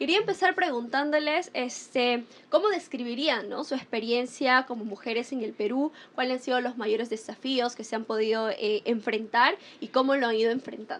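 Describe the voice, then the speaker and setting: With ordinary pitch variation, a woman talks in a high voice at a moderate pace. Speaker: talk show host. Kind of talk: panel interview.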